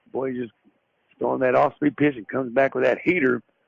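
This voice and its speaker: A man talks with a Southern US accent. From US South. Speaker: radio sports play-by-play announcer. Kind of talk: live commentary. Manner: conversational, folksy.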